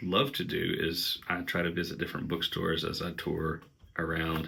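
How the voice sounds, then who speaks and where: A man's very deep, low voice in an Appalachian accent, bright and sharp in tone, at a fairly slow pace. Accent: Appalachian Southern. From Southeast Kentucky, Appalachia. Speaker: musician and book vlogger. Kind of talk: casual vlog, answering tag questions. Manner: hesitant, many fillers.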